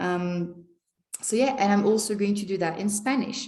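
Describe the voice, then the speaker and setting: With audible room echo, a woman at medium pitch speaks at a fairly quick pace in a dark, mellow tone, her pitch varying in an ordinary way. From France. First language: French. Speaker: language teacher and vlogger. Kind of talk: casual vlog monologue.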